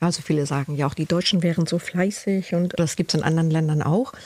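A woman's somewhat breathy voice, dark and mellow in tone, at a fairly quick pace. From northern Germany, Cuxhaven. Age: 50s. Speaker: body and trauma therapist. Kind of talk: interview about her life.

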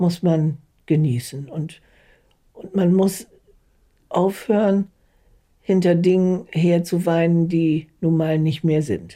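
Very slow speech full of long, frequent pauses. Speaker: care home resident. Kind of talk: interview.

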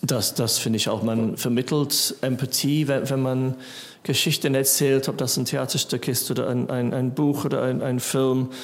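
A man with an English accent at a medium pitch and moderate pace, flat and monotone, his loudness very even. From England. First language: English (speaking German). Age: 40s. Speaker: musician. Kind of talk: casual chat. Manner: halting, many fillers.

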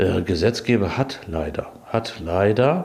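Noticeable background noise runs behind a man whose pitch sits fairly low. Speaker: meat industry union representative. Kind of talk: interview.

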